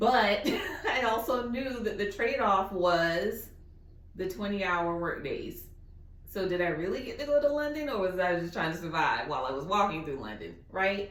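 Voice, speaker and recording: A woman's animated tone in an American accent, at medium pitch with very wide pitch swings, amid audible room echo and noticeable background noise. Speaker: guest speaker. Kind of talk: Q&A session.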